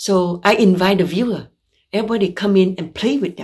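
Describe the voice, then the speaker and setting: Against a quiet background, a woman talks at a moderate pace. Her voice is somewhat breathy, with ordinary pitch variation. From Vietnam (Saigon); Vietnam. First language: Vietnamese. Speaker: visual artist. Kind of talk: artist talk presentation; artist talk about own paintings. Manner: halting, with fillers.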